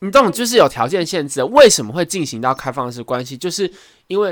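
This man rushes along at a very fast pace, his intonation lively. Very clean audio, with a silent background. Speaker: podcast co-host. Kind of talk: casual chat.

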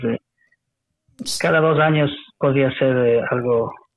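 A fairly slow pace with fairly even intonation. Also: man, long, frequent pauses, very even loudness. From Ecuador (Quito, Ambato). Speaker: Spanish teacher and chef. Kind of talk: casual interview chat.

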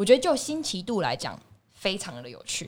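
Vocal fry and very wide pitch swings mark this woman's moderately paced speech on a very clean recording with a silent background. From Taiwan, Tainan. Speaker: podcast host. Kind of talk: casual chat.

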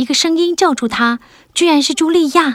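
On a very clean recording with a silent background and a dry, close sound with no echo, a woman speaks in a dramatic tone at a moderate pace. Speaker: audiobook narrator. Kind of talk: literary audiobook narration for children. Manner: measured, clear storyteller pacing; dramatic and suspenseful in tense scenes.

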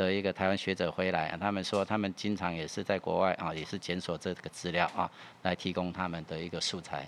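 A man speaks with a very deep, low pitch and a monotone, flat intonation. His pace is fairly quick. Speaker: music archive director. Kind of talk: interview. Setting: studio.

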